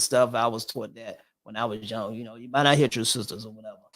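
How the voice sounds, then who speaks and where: A man speaks at a very fast pace with an American accent. His medium pitch stays monotone and flat. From US South. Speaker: podcast host. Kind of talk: casual interview chat. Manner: halting.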